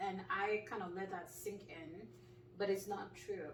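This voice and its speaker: Amid noticeable background noise and audible room echo, a woman of medium pitch speaks at a fairly slow pace. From Nigeria. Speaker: clinical pharmacist. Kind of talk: casual interview.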